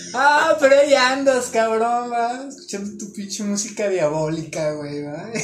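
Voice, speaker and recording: With a Mexican accent and lively intonation, a man speaks amid audible room echo and noticeable background noise. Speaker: guest on spiritual talk show. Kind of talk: casual chat.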